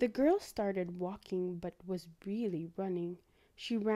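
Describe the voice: The pitch moves up and down in an ordinary way. The speaker is doing plain reading aloud.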